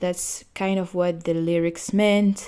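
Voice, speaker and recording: A woman with a non-native accent talks at a fairly low pitch in a dark, mellow tone. Her intonation is monotone and flat. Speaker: podcast host. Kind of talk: casual music review podcast. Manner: halting, with fillers.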